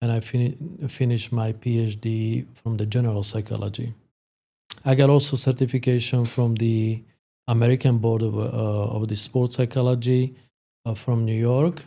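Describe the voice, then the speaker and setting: A man's medium-pitched voice with a Slovak accent, dark and mellow in tone, flat and monotone, at a moderate pace. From Slovakia. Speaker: sport psychologist. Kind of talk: podcast interview. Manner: halting, many fillers.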